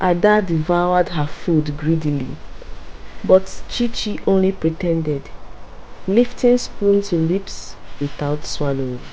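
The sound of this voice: A woman with a fairly low pitch speaks slowly, with ordinary pitch variation.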